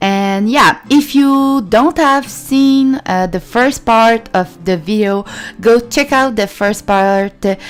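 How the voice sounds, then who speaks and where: A woman speaks at a very slow pace, her pitch swinging very widely. Music plays in the background. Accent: Quebec. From Quebec, Canada. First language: French. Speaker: gaming YouTuber. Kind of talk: let's play commentary. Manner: halting, many fillers.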